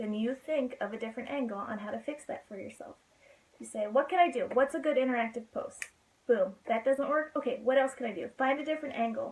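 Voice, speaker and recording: A woman's high-pitched, very fast speech with big swings in loudness and ordinary pitch variation. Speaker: network marketing seller. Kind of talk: live stream business talk. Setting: live video from home bedroom.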